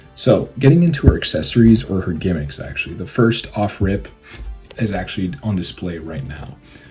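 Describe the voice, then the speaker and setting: Music plays behind a man with a very deep, low pitch and lively intonation. He speaks at a moderate pace with big swings in loudness. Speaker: toy reviewer. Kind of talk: casual review talk.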